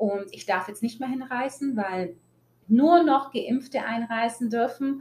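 A woman speaks at a very slow pace and high pitch with ordinary pitch variation. Her loudness swings widely. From Germany, Italian family. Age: 20s. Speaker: podcast host. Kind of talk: personal monologue. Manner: animated.

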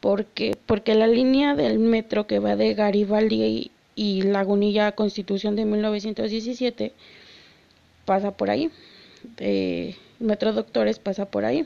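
A woman speaks very slowly. Her loudness stays very even. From Mexico City. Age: 20s. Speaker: podcast host. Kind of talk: casual solo podcast talk.

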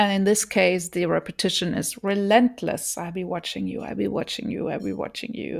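A woman speaks with a German accent and vocal fry at a moderate pace. The recording is very clean, with a silent background. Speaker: podcaster. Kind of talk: solo podcast commentary. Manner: hesitant, many filler words.

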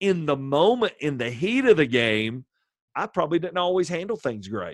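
A man's fairly quick speech, with very wide pitch swings. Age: 50s. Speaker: pastor and assistant high school baseball coach. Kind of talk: casual interview.

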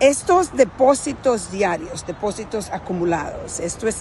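Amid noticeable background noise, a woman talks at a moderate pace with lively intonation. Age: 50s. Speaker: motivational speaker. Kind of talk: motivational monologue.

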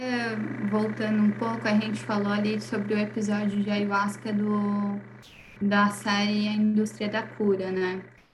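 A woman speaks at a fairly slow pace in a monotone, flat intonation. Noticeable background noise and audible room echo surround her. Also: medium pitch for a woman. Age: 20s. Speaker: holistic therapist. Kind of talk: casual chat.

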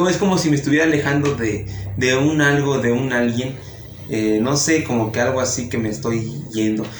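Lively intonation from a man at a moderate pace, with noticeable background noise and audible room echo. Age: young. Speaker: podcast host. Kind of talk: casual chat.

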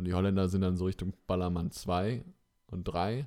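A man speaks in a very deep, low pitch with a dark, mellow tone and monotone, flat intonation. The pace is moderate, and the recording is very clean with a silent background. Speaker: podcast co-host. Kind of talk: casual chat.

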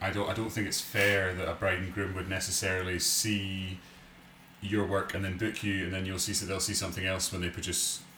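A man's very deep, low voice in a monotone, flat delivery at a fairly quick pace, over noticeable background noise. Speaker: podcast co-host, wedding photographer. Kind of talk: casual chat.

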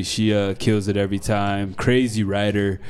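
Over noticeable background noise, a man with an American accent speaks fairly slowly at a fairly low pitch. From Denver, Colorado, US. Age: 20s. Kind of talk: casual interview conversation. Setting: in a wine bar.

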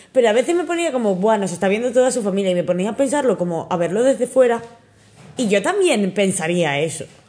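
Amid noticeable background noise, a woman with a fairly high voice talks at a very fast pace, her pitch swinging very widely. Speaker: podcast co-host. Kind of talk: casual chat. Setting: home.

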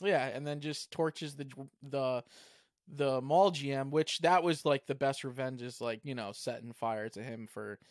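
A man with an ordinary speaking voice talks at a moderate pace with ordinary pitch variation, recorded very clean against a silent background with a dry, close sound and no echo. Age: 30s. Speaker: podcast host. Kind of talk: casual chat.

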